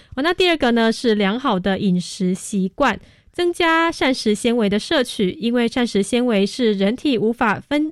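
A woman with a normal speaking voice talks at a moderate pace with lively intonation and hardly any pauses. The recording is very clean with a silent background, and her loudness stays very even. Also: fairly high pitch for a woman. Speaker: radio host. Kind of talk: scripted narration; radio talk show.

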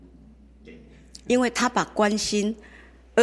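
A woman talks at a medium pitch. The background is quiet. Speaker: community elder-care organizer. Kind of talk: interview.

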